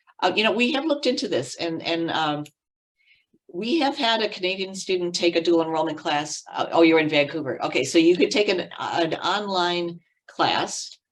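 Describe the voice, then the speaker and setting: Lively intonation marks a woman's fairly low-pitched delivery at a moderate pace. It is a normal speaking voice. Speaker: college program staff presenter. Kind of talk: online information session Q&A.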